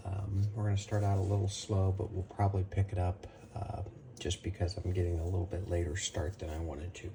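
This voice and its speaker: The quiet voice moves at a fairly quick pace in a monotone, flat intonation, with noticeable background noise behind it. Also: man, very deep, low pitch for a man. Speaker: barbecue cooking channel host. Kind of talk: cooking tutorial. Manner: quiet, keeping voice down.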